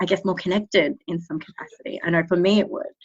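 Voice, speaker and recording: A woman talks with an Australian accent. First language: Cambodian. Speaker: speech pathologist. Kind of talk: interview. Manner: hesitant, many fillers.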